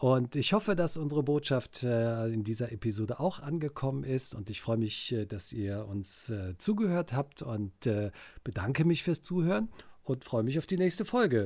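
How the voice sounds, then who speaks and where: On a very clean recording with a silent background, a man of medium pitch speaks somewhat breathily at a moderate pace with very wide pitch swings. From Cologne, Germany. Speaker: dialect expert. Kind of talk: casual podcast chat.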